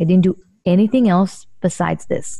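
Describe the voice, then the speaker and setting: A woman speaks at a medium pitch and a moderate pace, somewhat breathy, with fairly even intonation. The sound is dry and close, with no echo. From Israel. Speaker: real estate investor. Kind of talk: interview.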